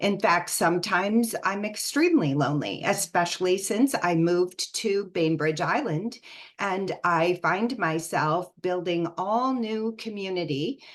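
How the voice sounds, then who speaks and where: A woman with an American accent and a plain, everyday voice speaks at a medium pitch and a fairly slow pace, with ordinary pitch variation and hardly any pauses. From US, Northern Virginia. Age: 60s. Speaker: empowerment coach. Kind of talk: online talk.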